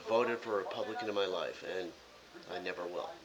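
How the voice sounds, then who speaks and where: Noticeable background noise behind a fairly quick-paced man speaking in an American accent. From US Midwest, Chicago suburbs (Illinois). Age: 60s. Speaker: political vlogger. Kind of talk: casual monologue to camera. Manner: blunt.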